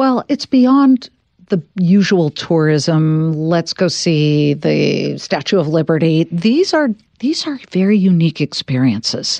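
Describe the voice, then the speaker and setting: A woman speaks very slowly in an American accent, her pitch fairly low with very wide swings. Her tone is dark and mellow, and the sound is dry and close with no echo. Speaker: talk show host. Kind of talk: interview. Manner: animated.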